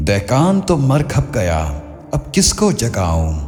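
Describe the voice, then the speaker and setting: Fairly low-pitched man with very wide pitch swings over music in the background. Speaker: voice actor. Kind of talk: poetry reading. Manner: soulful, emotional.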